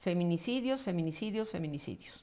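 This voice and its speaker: A woman speaks with very wide pitch swings. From Mexico City. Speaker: judge; interviewee. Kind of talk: interview. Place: home room.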